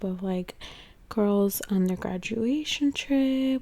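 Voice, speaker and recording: Soft-spoken, a woman talks very slowly in a dark, mellow tone with ordinary pitch variation. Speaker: ASMR content creator. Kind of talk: vlog-style narration to camera, ASMR.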